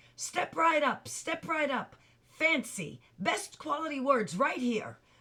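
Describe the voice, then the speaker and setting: A loud, high-pitched woman in a put-on character voice, lively in intonation and fairly slow in pace. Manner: loud salesman's pitch.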